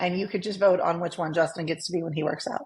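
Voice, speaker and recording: Somewhat breathy, a woman speaks with ordinary pitch variation and an American accent. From California (San Fernando Valley). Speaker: podcast co-host. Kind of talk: casual podcast chat.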